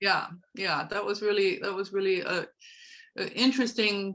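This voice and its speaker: With a German accent, a woman talks at a moderate pace using fairly even intonation. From Germany. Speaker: horse trainer and life coach. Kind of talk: interview.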